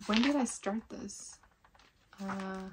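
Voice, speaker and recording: This woman's voice is somewhat breathy and sits at a medium pitch. She speaks at a very slow pace. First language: not English. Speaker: knitting podcaster. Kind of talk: casual show-and-tell podcast. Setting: home knitting room. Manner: relaxed, chatty with fillers.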